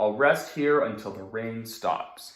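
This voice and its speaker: A man speaks at a fairly slow pace in a put-on character voice. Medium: read story.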